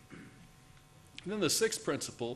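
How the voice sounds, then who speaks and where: A somewhat breathy male voice with lively intonation over light background noise. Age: old. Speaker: conservation scientist; conference speaker. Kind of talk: conference talk. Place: hall.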